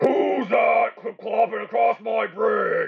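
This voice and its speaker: A bellowing put-on character voice from a man, at a very slow pace. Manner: roaring.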